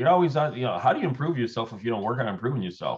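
A male speaker at medium pitch. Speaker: real estate agent. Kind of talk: casual group discussion. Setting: video call. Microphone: video call.

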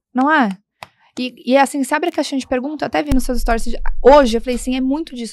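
A woman speaks in a high pitch, and the sound is dry with no echo. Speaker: co-host. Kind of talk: podcast conversation. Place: studio. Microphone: studio mic.

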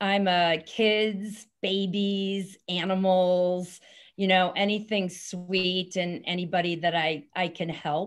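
With a Californian accent, a woman speaks very slowly in a flat monotone at very even loudness against a quiet background. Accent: Californian American. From San Francisco Bay Area. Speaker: author. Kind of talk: interview. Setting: video call. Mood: warm, reflective. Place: office. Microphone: video call.

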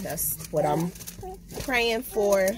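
A woman talks at a very slow pace. The sound is dry with no echo, though noticeable background noise comes through. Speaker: vlogger. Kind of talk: casual vlog chat. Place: car. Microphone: phone near.

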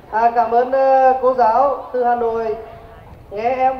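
Light background noise and audible room echo surround a man speaking at an extremely high pitch. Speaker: company representative and alumnus speaker; event host or presenter. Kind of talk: seminar talk to students. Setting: school hall with audience. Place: stage. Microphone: handheld.

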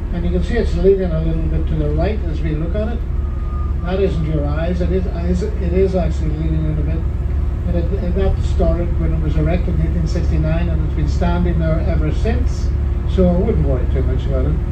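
A man speaks at a fairly quick pace while loud noise fills the background. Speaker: tour guide. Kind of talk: tour commentary. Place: bus.

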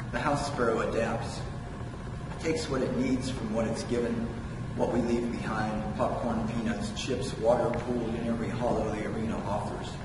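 A man talks at a moderate pace over noticeable background noise, with audible room echo. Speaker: poet. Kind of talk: poet reading own prose poem aloud, measured, with wry asides. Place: hall.

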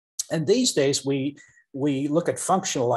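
A man speaks at a fairly quick pace with a fairly high pitch and a somewhat breathy sound over a quiet background. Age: 60s. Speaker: professor. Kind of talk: interview. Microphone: video call.

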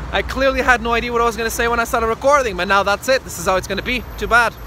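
A man talks at a very fast pace in a raised, projected voice, keeping his intonation fairly even. The sound is dry with no echo, with light background noise. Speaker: wrestler vlogger. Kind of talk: casual vlog chat. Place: street. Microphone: phone near.

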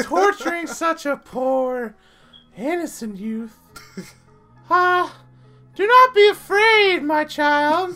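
Over music in the background, a female-sounding put-on character voice speaks at a high pitch and a very slow pace, with long, frequent pauses. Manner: screaming.

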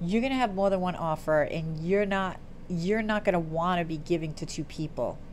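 Light background noise sits behind a woman with a fairly low pitch. Her pitch varies in an ordinary way at a moderate pace. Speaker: tarot reader. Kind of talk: tarot reading commentary. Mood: warm, upbeat. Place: home room. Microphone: earbuds.

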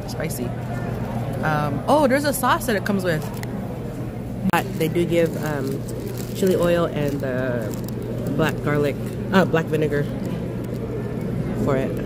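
Through loud background noise, a woman speaks at a fairly slow pace with long, frequent pauses. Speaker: food vlogger. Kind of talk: casual vlog chat. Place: market. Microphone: phone near.

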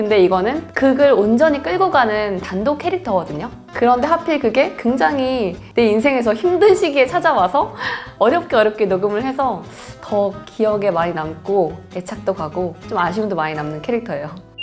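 A woman at a moderate pace with a fairly high pitch and very wide pitch swings, music in the background. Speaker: voice actor. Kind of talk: interview answer.

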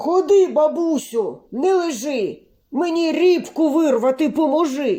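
This put-on character voice is high in pitch and moves at a fairly slow pace. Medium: read story.

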